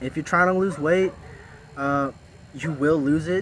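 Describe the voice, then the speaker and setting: Noticeable background noise sits behind a man's voice. He speaks at a moderate pace with fairly even intonation. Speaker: vlogger, former job corps student. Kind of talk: casual vlog monologue. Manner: halting, stuttering.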